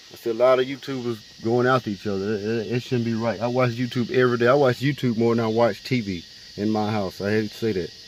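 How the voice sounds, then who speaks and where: Over noticeable background noise, a man speaks at a very fast pace with hardly any pauses. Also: medium pitch for a man, ordinary pitch variation. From Alabama. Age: 20s. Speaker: vlogger, car rebuilder. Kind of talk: casual vlog to camera. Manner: animated.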